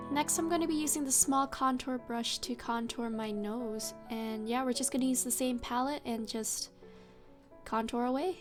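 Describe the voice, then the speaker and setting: The voice is soft-spoken, at a moderate pace with ordinary pitch variation. Music plays in the background. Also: woman, high pitch for a woman. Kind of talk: casual makeup tutorial talk to camera.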